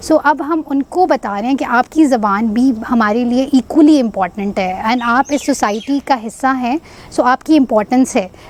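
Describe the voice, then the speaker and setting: Over noticeable background noise, a woman talks at a moderate pace with hardly any pauses, her high pitch showing ordinary variation. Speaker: social entrepreneur. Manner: halting.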